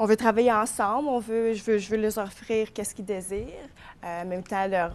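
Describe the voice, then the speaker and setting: A woman speaks with an English accent. Her pitch is fairly high and her intonation fairly even. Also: fairly quick pace. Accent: English-speaker accent in French. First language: English (speaking French). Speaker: florist and shop owner. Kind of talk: TV interview.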